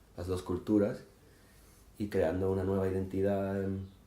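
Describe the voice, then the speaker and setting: A man speaks at a moderate pace with a very deep, low pitch and a dark, mellow tone. Room echo is audible around him. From Gibraltar. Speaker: poet and musician. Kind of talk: interview. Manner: hesitant, with fillers.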